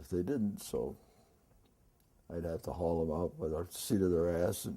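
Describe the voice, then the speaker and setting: In an American accent, a man speaks at a moderate pace. His tone is dark and mellow. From Detroit. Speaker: former carnival worker. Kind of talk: oral history interview answer.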